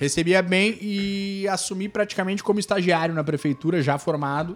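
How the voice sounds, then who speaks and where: Here a man talks at a moderate pace, his high pitch showing ordinary pitch variation. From Torres, Rio Grande do Sul, southern Brazil. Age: 30s. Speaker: municipal tourism secretary. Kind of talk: casual interview chat. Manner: animated, informal.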